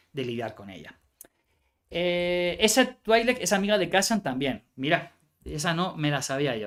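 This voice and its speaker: A high-pitched male voice with lively intonation and a bright, sharp tone, on a very clean recording with a silent background. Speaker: card game content creator. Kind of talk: live stream card review. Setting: live stream. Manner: fast.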